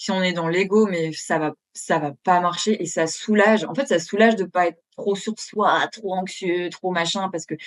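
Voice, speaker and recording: Pitch varies in an ordinary way. There are hardly any pauses. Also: woman, medium pitch for a woman. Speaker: therapist. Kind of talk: interview. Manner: fast.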